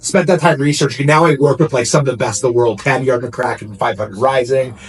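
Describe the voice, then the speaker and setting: Very fast speech from a man at medium pitch, ordinary pitch variation, and noticeable background noise. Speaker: self-defense instructor. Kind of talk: casual interview chat. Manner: loud.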